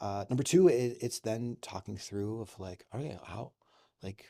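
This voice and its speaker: In a very clean recording with a silent background, a man speaks at a moderate pace in a dark, mellow tone and fairly low pitch. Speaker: children's ministry leader at a church. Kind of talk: casual interview. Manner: loud; hesitant, many fillers.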